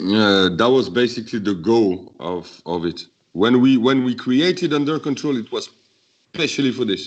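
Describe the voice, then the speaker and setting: Against a quiet background, a man with a French accent speaks at medium pitch and a moderate pace with lively intonation. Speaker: beatboxer. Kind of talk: interview. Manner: halting.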